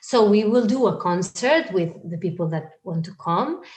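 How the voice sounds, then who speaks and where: Somewhat breathy, a woman speaks with a Spanish accent and lively intonation. Her pace is fairly slow. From Spain. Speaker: singer. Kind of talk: interview.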